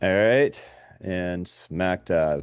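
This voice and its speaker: A man speaks at a very deep, low pitch with ordinary pitch variation. The sound is dry and close with no echo, and the background is quiet. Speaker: software trainer. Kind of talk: software training webinar. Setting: video call. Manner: animated.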